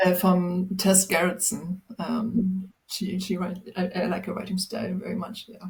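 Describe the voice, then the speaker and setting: A woman with a German accent, medium pitch, a fairly slow pace, monotone, flat intonation and hardly any pauses. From Germany, Magdeburg. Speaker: people and culture professional. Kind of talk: casual chat. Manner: halting.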